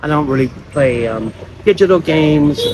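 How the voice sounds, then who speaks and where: Fairly slow speech in an American accent, with noticeable background noise. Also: man. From United States. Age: 60s. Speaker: vlogger. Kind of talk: casual vlog monologue. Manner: halting, with repeated false starts.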